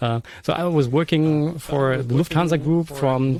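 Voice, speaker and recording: There is noticeable background noise behind this man. His pitch is fairly high and his pace fairly slow. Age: 40s. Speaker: podcast host. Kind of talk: casual live-stream chat. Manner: hesitant, many fillers.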